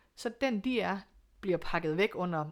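An ordinary speaking voice with lively intonation, captured in a very clean recording against a silent background. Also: woman. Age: 40s. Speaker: single mother by choice. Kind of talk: interview.

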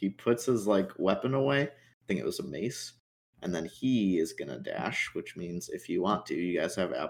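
Intonation is lively in this plain reading aloud. Behind it, the background is quiet.

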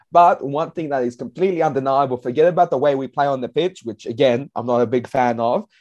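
With an Australian accent, a man with a fairly high pitch talks very fast in an animated tone, using ordinary pitch variation, in a dry, close recording with no echo and a quiet background. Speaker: football writer. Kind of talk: casual chat.

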